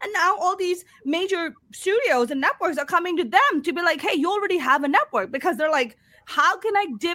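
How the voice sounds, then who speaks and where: An animated woman's raised, projected voice, extremely high in pitch, with very wide pitch swings at a moderate pace. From Pakistan. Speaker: stand-up comedian. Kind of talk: casual interview.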